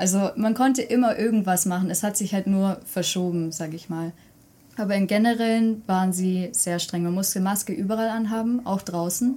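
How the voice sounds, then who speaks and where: A woman's somewhat breathy voice, dark and mellow in tone, at medium pitch and a moderate pace, in a very clean recording with a silent background. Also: ordinary pitch variation. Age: 20s. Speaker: university student of Korean studies. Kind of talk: podcast interview.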